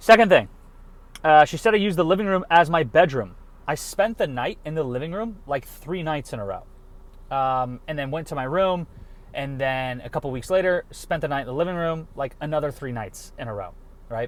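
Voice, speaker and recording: A man talks at a fairly quick pace in a fairly high voice with lively intonation. His loudness swings widely. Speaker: vlogger. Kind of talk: casual monologue. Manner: halting.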